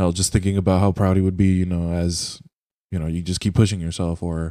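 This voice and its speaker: Speaking at a fairly quick pace with an American accent, a man has a very deep, low pitch, a dark, mellow tone and monotone, flat intonation. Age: 20s. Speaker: podcast host and streamer. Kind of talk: casual chat. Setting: video call.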